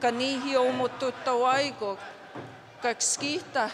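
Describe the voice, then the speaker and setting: With noticeable background noise behind her, a woman speaks fairly slowly at a high pitch. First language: Cree. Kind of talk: public speech.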